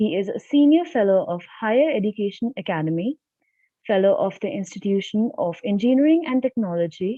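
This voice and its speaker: A soft-spoken woman talks at a fairly quick pace, her fairly high voice making very wide pitch swings. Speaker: student conference anchor. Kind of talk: reading aloud a speaker introduction.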